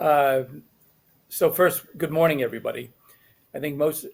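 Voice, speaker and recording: A man's unremarkable speaking voice, fairly high in pitch, fairly quick in pace, with fairly even intonation. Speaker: tax agency liaison. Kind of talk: webcast presentation. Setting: webcast.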